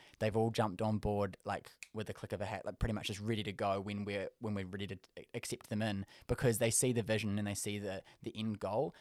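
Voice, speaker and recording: A man talks at a very fast pace. His fairly low voice has monotone, flat intonation. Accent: New Zealand. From New Zealand; South Auckland. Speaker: creative director, business founder, reality TV contestant. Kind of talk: casual podcast interview. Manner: fast talker.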